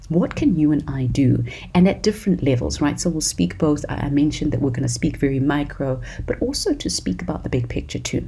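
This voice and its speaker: Noticeable background noise sits behind a woman speaking at a fairly quick pace in a South African accent. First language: isiZulu. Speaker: podcast host. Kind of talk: solo podcast talk. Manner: animated.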